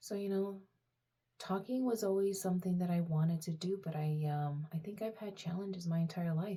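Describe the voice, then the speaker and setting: Somewhat breathy, a woman speaks at a moderate pace with a fairly low pitch, fairly even intonation and a dark, mellow tone. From Romania, moved to US at seven. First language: Romanian. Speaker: personal vlogger. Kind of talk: casual personal talk to camera. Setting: talking to camera. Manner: halting, many fillers.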